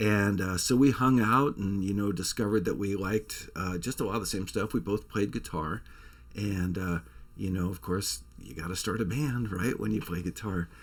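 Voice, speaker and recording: In a very clean recording with a silent background, a man with a fairly low pitch and vocal fry speaks at a moderate pace with ordinary pitch variation. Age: 60s. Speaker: songwriter and musician, channel host. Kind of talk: casual vlog storytelling.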